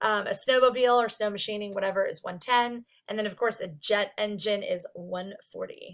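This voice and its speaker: A woman's loud voice at a moderate pace, with fairly even intonation and hardly any pauses. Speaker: psychology instructor. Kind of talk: recorded lecture. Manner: casual, filler-heavy.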